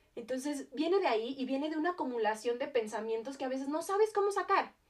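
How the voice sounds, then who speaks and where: A woman with a high voice speaks at a fairly quick pace with lively intonation. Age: 20s. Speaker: podcast host. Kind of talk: casual monologue. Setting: home. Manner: animated.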